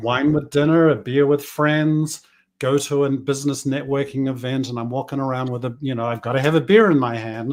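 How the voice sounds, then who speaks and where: This man has a medium pitch, ordinary pitch variation and a New Zealand accent. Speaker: business coach. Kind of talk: interview conversation. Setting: podcast.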